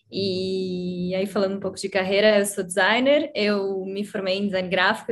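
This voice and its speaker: At a moderate pace, a woman speaks in a flat monotone at medium pitch. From Brazil, Curitiba. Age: 30s. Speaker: designer. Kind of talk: casual chat.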